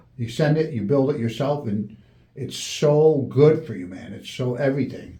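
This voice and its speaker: A man's medium-pitched voice at a moderate pace, with ordinary pitch variation, big swings in loudness, audible room echo and noticeable background noise. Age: 60s. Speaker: podcast host. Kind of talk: casual chat.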